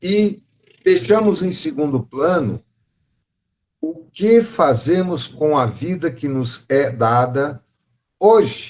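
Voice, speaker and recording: Using very wide pitch swings, a man with a fairly high voice talks at a very slow pace, leaving long, frequent pauses. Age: 60s. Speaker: spiritist study group teacher. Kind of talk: lecture. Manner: conversational.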